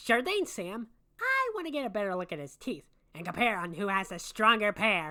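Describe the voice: A woman puts on a character voice at a medium pitch. She speaks at a moderate pace.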